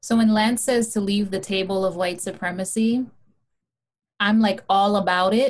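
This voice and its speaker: A woman speaks at a moderate pace in a medium pitch, somewhat breathy, with fairly even intonation and very even loudness. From Hawaii. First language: non-English, immigrant. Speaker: testimony speaker, mother. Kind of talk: testimony.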